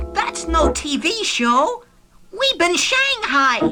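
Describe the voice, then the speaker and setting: Loud music plays in the background. Over it comes a cartoonish character voice at a very slow pace. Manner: dry, level-headed.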